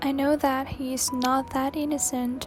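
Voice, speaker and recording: Against music in the background, a woman with a breathy, high-pitched voice speaks fairly slowly in monotone, flat intonation. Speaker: video essayist. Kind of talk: video essay narration.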